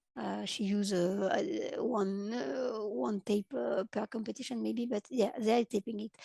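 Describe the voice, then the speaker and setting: In a French accent, a woman speaks at a moderate pace and medium pitch, her dark, mellow tone and lively intonation captured in a dry, close sound with no echo. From France. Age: 30s. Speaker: paraclimbing athlete. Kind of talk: interview. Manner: halting.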